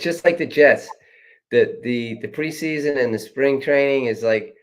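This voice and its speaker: A man with a New York accent, fairly high in pitch, with ordinary pitch variation and a moderate pace. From New York City (Queens). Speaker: running coach. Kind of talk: casual chat.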